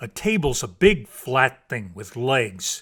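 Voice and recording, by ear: A man puts on a character voice in a medium pitch, with a fairly bright tone and a slightly husky edge. He speaks slowly, his pitch taking big swings.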